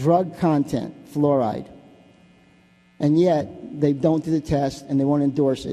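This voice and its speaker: With fairly even intonation and an American accent, a man talks at a fairly slow pace in a fairly high, dark, mellow voice. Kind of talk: public comment speech. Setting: city council chamber. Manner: halting, many fillers and restarts.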